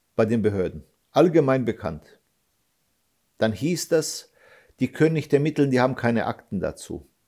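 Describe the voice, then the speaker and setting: A man's medium-pitched voice with vocal fry and a dark, mellow tone, lively intonation at a moderate pace, and long, frequent pauses. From Germany, Hesse. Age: 40s. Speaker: father of an attack victim, activist. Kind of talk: interview. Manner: halting.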